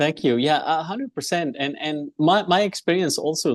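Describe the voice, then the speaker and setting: Lively intonation from a man with an Arabic accent, fairly high in pitch, at a moderate pace, in a dry, close sound with no echo. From Egypt, Alexandria. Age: 40s. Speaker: engineer and entrepreneur. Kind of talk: interview. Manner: halting, many fillers.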